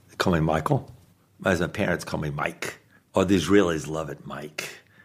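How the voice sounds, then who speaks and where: A man's very deep, low voice with an American accent, a moderate pace and ordinary pitch variation. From US South, Mobile, Alabama. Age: 60s. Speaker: interviewee with terminal illness. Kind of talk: interview.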